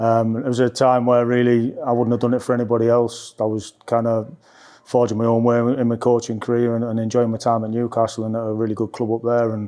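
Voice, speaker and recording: A man talks at a very fast pace in a medium pitch, with a dark, mellow tone. His intonation stays monotone and flat. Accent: North East England. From North East England. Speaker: football assistant coach. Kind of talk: press interview. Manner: level, calm; hesitant, many fillers.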